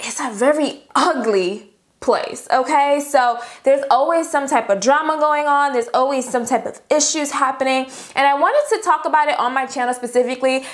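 At a fairly quick pace, a woman speaks with a high pitch and ordinary pitch variation against a quiet background. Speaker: beauty vlogger. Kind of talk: casual vlog chat. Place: home room.

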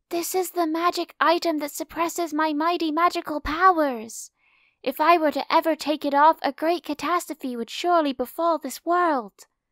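In a put-on character voice, a woman talks at a moderate pace with an extremely high pitch. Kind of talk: overdramatic chunibyo speech. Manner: grandiose, proud, theatrical.

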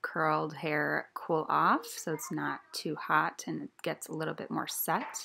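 A woman is talking, fairly slowly. Some light noise can be heard behind her. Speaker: beauty vlogger. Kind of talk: tutorial. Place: home room. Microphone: phone near.

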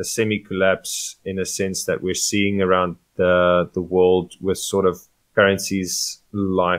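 A man with an unremarkable speaking voice, fairly low pitch and a fairly slow pace. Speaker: podcast co-host. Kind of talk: casual discussion.

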